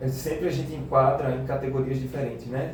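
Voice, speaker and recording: Delivered at a fairly quick pace in a monotone, flat intonation, the speech carries audible room echo and noticeable background noise. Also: man. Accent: northeastern Brazilian. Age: 20s. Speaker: teacher. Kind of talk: radio interview. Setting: radio studio.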